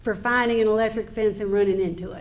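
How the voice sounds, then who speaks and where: A woman's fairly high voice with a North Carolina accent and fairly even intonation. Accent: Southern rural North Carolina. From US South, North Carolina (Yadkin County). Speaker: appeals court judge. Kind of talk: after-dinner speech. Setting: banquet with audience. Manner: conversational.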